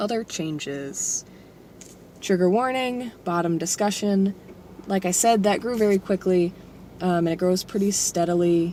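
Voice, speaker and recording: A woman speaks at a fairly slow pace with long, frequent pauses. Her tone is dark and mellow, with ordinary pitch variation. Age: 20s. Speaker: vlogger documenting gender transition. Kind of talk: personal video diary. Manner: hesitant with many fillers.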